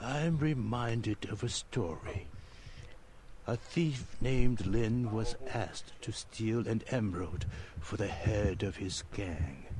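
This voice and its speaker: A man puts on a character voice at medium pitch. Clear background noise can be heard. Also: fairly slow pace. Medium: video game. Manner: slow, cryptic, unsettling.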